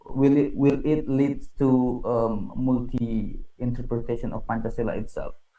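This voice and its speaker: A man with an Indonesian accent and a dark, mellow tone speaks at a medium pitch with fairly even intonation and hardly any pauses, with audible room echo. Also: fairly slow pace. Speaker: conference moderator. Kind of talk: moderating academic panel.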